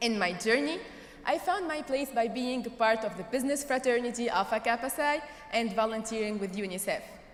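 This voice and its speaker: Fairly high-pitched woman's voice, fairly quick and lively in intonation, amid noticeable background noise and audible room echo. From Tunisia. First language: not English (English is third language). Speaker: graduating student speaker. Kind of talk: commencement speech. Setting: stage with audience.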